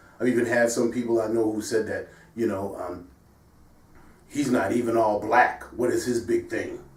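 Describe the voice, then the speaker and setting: A man with an American accent speaks at a moderate pace and medium pitch with fairly even intonation, amid noticeable background noise and audible room echo. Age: 60s. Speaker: sports show host. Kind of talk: casual discussion.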